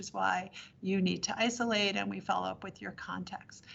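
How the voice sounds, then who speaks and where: A woman speaks at a moderate pace and a medium pitch. Vocal fry runs through her voice. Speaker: public health official. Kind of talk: briefing to city council.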